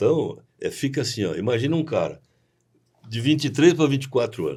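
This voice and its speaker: Speaking at a fairly quick pace, a man with a fairly high pitch has a dark, mellow tone and vocal fry. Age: 60s. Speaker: agricultural cooperative president. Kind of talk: podcast interview.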